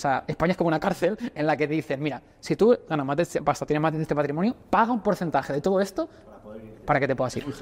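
Speaking very fast, a man uses a fairly high pitch with ordinary pitch variation. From Spain. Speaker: entrepreneur. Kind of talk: casual chat. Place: gym. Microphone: lapel.

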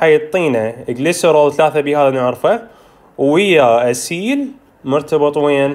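Speaking very slowly with an Iraqi accent, a man holds a fairly high pitch, ordinary pitch variation and very even loudness. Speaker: medical tutor. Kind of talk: lecture. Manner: informal, code-switching Arabic and English terms.

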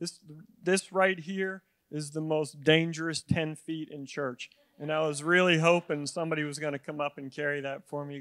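Over a quiet background, a man speaks with monotone, flat intonation. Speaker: preacher. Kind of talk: sermon. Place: church. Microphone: handheld.

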